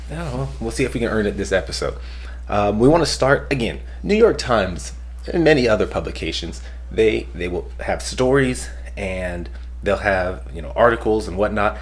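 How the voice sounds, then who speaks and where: Over noticeable background noise and audible room echo, a man with a very deep, low voice speaks with very wide pitch swings and big swings in loudness. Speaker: podcast host. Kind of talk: casual chat. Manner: fast.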